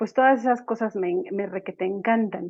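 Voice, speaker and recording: In a plain, everyday voice, a woman talks at a moderate pace and a medium pitch. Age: 40s. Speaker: psychologist. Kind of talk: panel talk.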